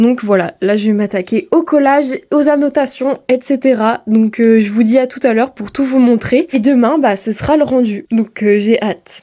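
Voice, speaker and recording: Her voice is high-pitched for a woman yet carries a dark, mellow tone. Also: ordinary pitch variation, moderate pace, hardly any pauses. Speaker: student vlogger. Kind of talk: casual vlog talk.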